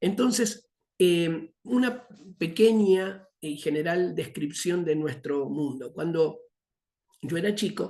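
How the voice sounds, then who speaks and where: A high-pitched man's voice with a dark, mellow tone and lively intonation, at a very slow pace amid audible room echo. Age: 60s. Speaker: missions teacher. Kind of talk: lecture. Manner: halting, many fillers.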